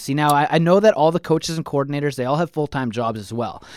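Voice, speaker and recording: A man with a Manitoban accent and ordinary pitch variation, on a very clean recording with a silent background and a dry, close sound with no echo. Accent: Canadian (Manitoba). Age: 30s. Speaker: sports podcast host. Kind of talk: casual chat.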